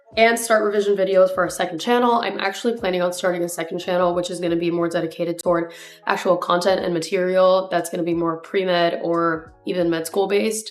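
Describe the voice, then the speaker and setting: Very fast, fairly low female voice with fairly even intonation, hardly any pauses, and noticeable background noise. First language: Spanish. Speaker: pre-med student vlogger. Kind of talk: casual vlog tutorial.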